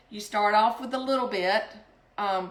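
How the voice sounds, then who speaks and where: Someone with a South Carolina accent speaks with ordinary pitch variation amid audible room echo. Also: woman. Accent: Southern US (South Carolina). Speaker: home cooking vlogger. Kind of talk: cooking tutorial. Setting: home kitchen. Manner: casual, hesitant with frequent ums.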